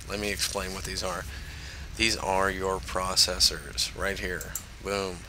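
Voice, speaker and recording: A man speaks at a fairly slow pace. Audible room echo and noticeable background noise are present. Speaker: gaming tutorial creator. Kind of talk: tutorial. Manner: hesitant, many fillers.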